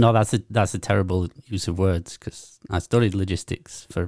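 Moderately paced speech from a man with fairly low pitch and ordinary pitch variation, in a dry, close sound with no echo. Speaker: podcast co-host. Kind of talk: casual chat.

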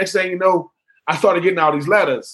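With a Southern US accent, a man speaks in a bright, sharp tone with ordinary pitch variation. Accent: Southern US (Georgia). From Georgia, US South (Swainsboro). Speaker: former pro football player. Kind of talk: casual interview.

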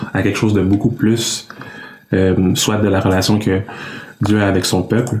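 A man's fairly low voice in a flat monotone, with noticeable background noise behind it. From Quebec, Canada (Congolese parents). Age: 20s. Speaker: engineering student and Bible narrator. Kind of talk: casual interview.

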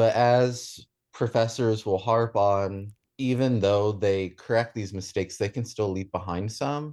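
Speaking in a normal speaking voice, a man with an American accent keeps fairly even intonation. He goes at a fairly slow pace over a quiet background. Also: fairly low pitch for a man. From US South, Shenandoah Valley, Virginia. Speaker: chemistry graduate student. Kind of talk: radio interview.

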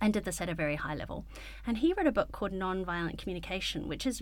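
A woman speaks with a New Zealand accent. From New Zealand, Wellington. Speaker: paediatrician. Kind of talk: interview conversation. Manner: calm; clear and concise.

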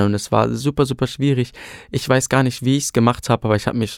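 Recorded very cleanly against a silent background with a dry, close sound and no echo, a man has a plain, everyday voice, medium pitch and ordinary pitch variation. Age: 20s. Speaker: trainee and amateur singer. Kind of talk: casual chat.

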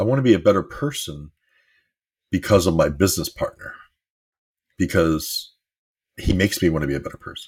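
A man with a very deep, low, somewhat breathy voice talks at a fairly quick pace with lively intonation, big swings in loudness, and long, frequent pauses. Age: 50s. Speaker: life coach podcast host. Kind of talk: motivational monologue.

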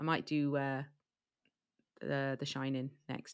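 A woman speaks with an English accent and a bright, sharp tone. The recording is very clean, with a silent background. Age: 40s. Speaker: true crime podcaster. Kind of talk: casual chat. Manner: halting.

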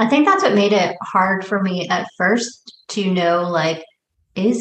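Using a plain, everyday voice, a woman of medium pitch speaks at a fairly slow pace with ordinary pitch variation. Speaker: podcast co-host discussing a film. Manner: casual, conversational, frequent filler words.

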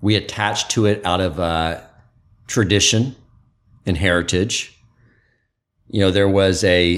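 This man has a very deep, low pitch. His pitch variation is ordinary. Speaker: podcast host. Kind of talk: interview conversation. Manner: energetic.

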